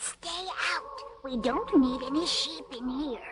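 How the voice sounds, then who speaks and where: This is a put-on character voice pitched high. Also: fairly slow pace. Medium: audio drama.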